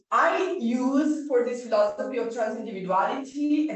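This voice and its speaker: A woman's fairly high voice at a moderate pace, with lively intonation and audible room echo. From Italy. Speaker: philosophy professor. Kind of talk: lecture. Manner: halting. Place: classroom. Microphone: camera far.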